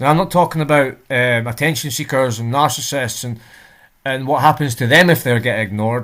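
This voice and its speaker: In a Scottish accent, a man talks at a moderate pace with ordinary pitch variation. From Scotland. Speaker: reaction video creator. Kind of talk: casual reaction commentary.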